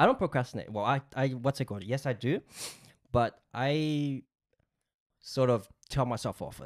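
A medium-pitched man at a moderate pace, ordinary pitch variation, big swings in loudness and long, frequent pauses, over a quiet background. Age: 30s. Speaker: podcast co-host. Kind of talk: casual chat. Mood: relaxed, reflective storytelling. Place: studio. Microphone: studio mic.

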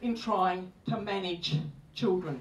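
A female voice comes through noticeable background noise. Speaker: speaker. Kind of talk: public talk. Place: stage.

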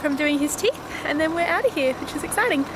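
A woman's voice comes through dry with no echo, over noticeable background noise. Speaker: travel vlogger. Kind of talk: casual vlog chat. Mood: cheerful, upbeat. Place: street. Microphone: phone near.

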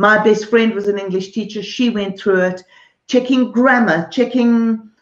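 A woman talks with a fairly high pitch. The background is quiet, though the room echo is audible. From Zimbabwe / South Africa. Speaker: artist, art teacher and author; interviewee. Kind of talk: interview. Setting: artist's studio, streamed live. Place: home room. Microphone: video call.

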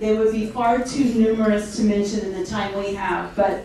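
A woman talks at a moderate pace over light background noise. Strong room echo surrounds her voice. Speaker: event host. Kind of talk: formal speech. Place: hall.

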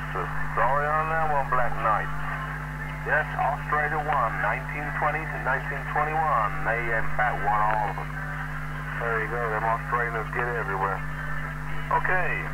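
Over loud background noise, a man with an American accent talks at a moderate pace. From United States. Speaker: CB radio quiz master. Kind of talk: radio quiz host.

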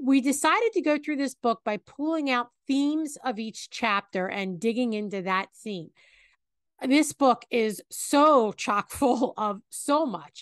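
A woman speaks at a high pitch with lively intonation. The sound is dry with no echo, and the background is quiet. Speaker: podcast co-host. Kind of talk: Bible teaching discussion. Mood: warm, earnest. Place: home room.

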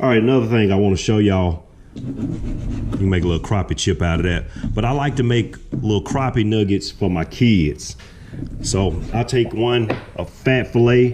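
Noticeable background noise sits behind a man talking at a moderate pace, his fairly low voice showing ordinary pitch variation. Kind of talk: tutorial. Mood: relaxed, proud. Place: kitchen. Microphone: camera far.

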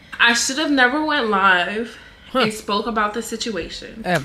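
Moderate pace from a female speaker. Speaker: content creator. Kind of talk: casual vlog chat. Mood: calm, explaining her side. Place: home room.

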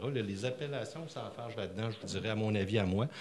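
A man with a Quebec accent, fairly low-pitched, at a fairly quick pace. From Quebec City. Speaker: regional tourism director. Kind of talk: public forum remarks. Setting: library public event with audience. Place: hall. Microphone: handheld.

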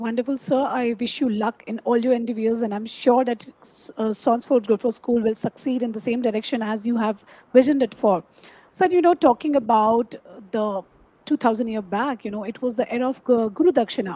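A woman talks at a fairly quick pace in a fairly high pitch with ordinary pitch variation. Her tone is dark and mellow, and the sound is dry with no echo. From India. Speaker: talk show host. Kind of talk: interview. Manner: formal. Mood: polite, warm. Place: home room. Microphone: headset.

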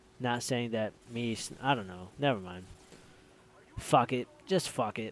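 A man at medium pitch speaks at a fairly slow pace with ordinary pitch variation. His loudness swings widely. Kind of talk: gameplay commentary. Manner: casual, hesitant.

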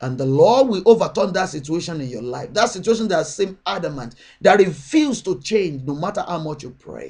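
A man speaks at a moderate pace with lively intonation and vocal fry, over a quiet background. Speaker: prayer channel minister. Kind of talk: sermon and prayer. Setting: online video address. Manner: fervent, urgent, exhorting; repetitive, rhythmic, declarative. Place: home room. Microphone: webcam.

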